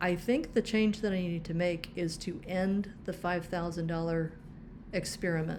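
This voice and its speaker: In a plain, everyday voice, a woman talks at a moderate pace and medium pitch with fairly even intonation. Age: 60s. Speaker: personal finance vlogger. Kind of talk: budgeting tutorial walkthrough. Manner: casual, with frequent filler words.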